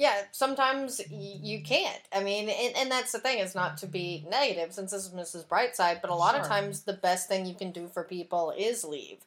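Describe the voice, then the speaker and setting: There is noticeable background noise behind this woman. She speaks with an American accent and lively intonation. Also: medium pitch for a woman, moderate pace, hardly any pauses. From Texas. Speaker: podcast host.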